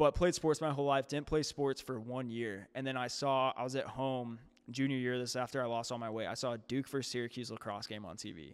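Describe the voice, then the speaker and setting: In a very clean recording with a silent background, a man with an American accent and an ordinary speaking voice talks at a fairly quick pace with hardly any pauses, his medium pitch carrying fairly even intonation. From St. Louis area, Missouri. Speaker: fitness coach. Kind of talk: casual chat.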